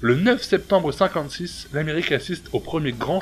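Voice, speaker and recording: A man's speech at a moderate pace. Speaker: YouTube host. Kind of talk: biography narration.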